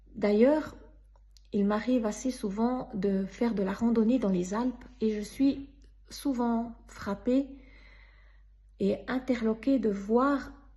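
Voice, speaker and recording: A woman speaks very slowly in a fairly high pitch. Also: long, frequent pauses. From Switzerland. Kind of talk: personal faith testimony.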